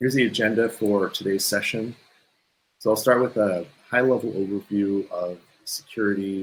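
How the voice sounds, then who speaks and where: Using an unremarkable speaking voice, a man with an American accent speaks at a moderate pace with a fairly low pitch and fairly even intonation. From California. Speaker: solutions engineer. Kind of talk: technical webinar presentation. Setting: video webinar.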